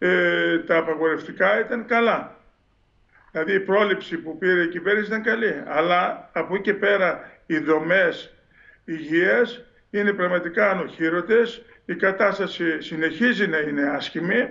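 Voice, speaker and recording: Over a quiet background, a man speaks at a fairly slow pace. His pitch is high, with ordinary pitch variation. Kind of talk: interview answer. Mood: critical, earnest. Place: home room. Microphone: video call.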